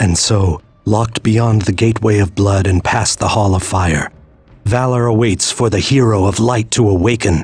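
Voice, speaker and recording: A man performs a put-on character voice at a fairly low pitch. His intonation stays fairly even, with faint music in the background. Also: moderate pace. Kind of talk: solemn game hero narration. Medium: video game. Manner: stoic, grave.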